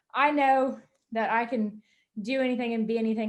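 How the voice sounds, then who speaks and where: Using a plain, everyday voice, a woman speaks at a fairly high pitch and moderate pace with fairly even intonation. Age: 20s. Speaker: wealth management business owner. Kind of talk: interview.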